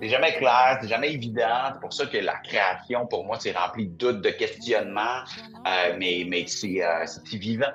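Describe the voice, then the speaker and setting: Music plays behind a man speaking at a fairly slow pace. His pitch is medium and his intonation lively. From Quebec. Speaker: singer-songwriter. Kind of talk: interview. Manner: hesitant, with many fillers.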